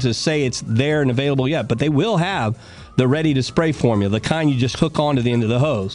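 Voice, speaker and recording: In an ordinary speaking voice, a man talks with a fairly high pitch and lively intonation. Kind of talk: radio DJ patter: live gardening call-in show, chatty sponsor plugs and call-taking. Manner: brisk, upbeat and folksy, with quick banter, ad-libbed jokes and sponsor plugs.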